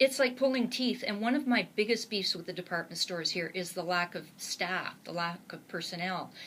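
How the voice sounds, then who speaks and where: In a Canadian accent, a woman speaks in a normal speaking voice at a moderate pace. Her pitch variation is ordinary, and the recording is very clean with a silent background. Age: 60s. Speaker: author and blogger. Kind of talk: interview. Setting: studio.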